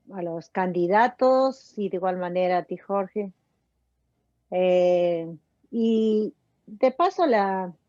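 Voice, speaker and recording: In a dry, close sound with no echo, a woman speaks very slowly at a medium pitch with a dark, mellow tone, ordinary pitch variation, and long, frequent pauses. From Peru. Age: 60s. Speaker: emigrant voter asking questions. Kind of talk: interview.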